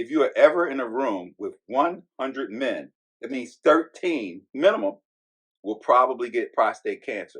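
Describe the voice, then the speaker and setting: Big swings in loudness from a man talking at a moderate pace. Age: 60s. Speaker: podcast co-host and cancer survivor. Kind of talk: testimony. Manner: emphatic.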